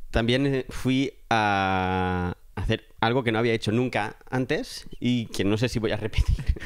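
At a very slow pace, the voice shows ordinary pitch variation. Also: man, medium pitch for a man. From Catalonia, Spain (Alcarràs, near Lleida). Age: 30s. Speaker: film production worker. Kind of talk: casual chat.

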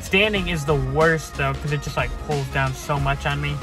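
A man talks with clear music playing behind him. The sound is dry, with no echo. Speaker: vlogger. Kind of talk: casual vlog chat. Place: car. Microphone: phone near.

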